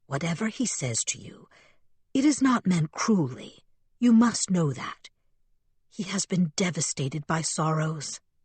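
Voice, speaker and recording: A put-on character voice at a middle pitch and moderate pace, broken by long, frequent pauses. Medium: read story. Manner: formal, deferential.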